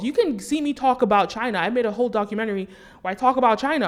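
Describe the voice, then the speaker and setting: A woman with an American accent, very fast delivery, animated tone and ordinary pitch variation. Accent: American accent, noted by viewers. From US, New York City. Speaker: commentator, documentary maker. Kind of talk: monologue vlog commentary.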